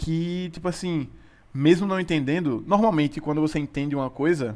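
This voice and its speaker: A man speaks in a fairly high pitch. His pace is moderate and his pitch varies in an ordinary way. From Sergipe, Brazil. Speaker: physics student and podcast co-host. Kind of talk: casual chat. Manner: hesitant, many repetitions and fillers.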